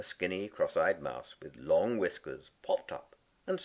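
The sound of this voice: This is an unforced reading voice. It reads the text through.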